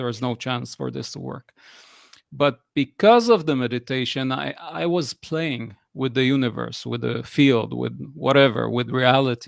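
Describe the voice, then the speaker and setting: At a moderate pace, a man speaks with an Israeli accent. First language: Hebrew. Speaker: personal coach. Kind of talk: interview conversation. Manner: hesitant, many fillers.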